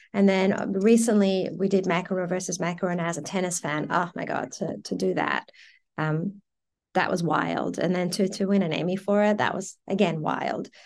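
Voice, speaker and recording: A woman speaks at a moderate pace with a medium-pitched voice and vocal fry. The background is quiet. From Iran, raised in Melbourne, Australia from age twelve. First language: Persian. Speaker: advertising creative director. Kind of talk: interview. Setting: studio. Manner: animated.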